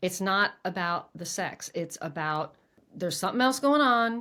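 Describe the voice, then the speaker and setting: A woman's voice with very wide pitch swings on a very clean recording with a silent background. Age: 60s. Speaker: podcast host and former coach. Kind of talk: casual interview conversation.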